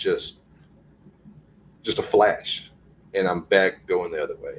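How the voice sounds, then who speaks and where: A man talks with a Southern accent. He speaks at a very slow pace. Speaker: guest sharing encounters. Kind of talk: casual interview, personal testimony.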